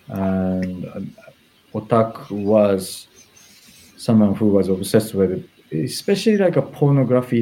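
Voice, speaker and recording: A man with a Japanese accent talks at a fairly slow pace. His pitch is fairly low and his tone dark and mellow. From Japan, Tokyo. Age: 40s. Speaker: fashion stylist. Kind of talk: interview. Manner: hesitant, many fillers.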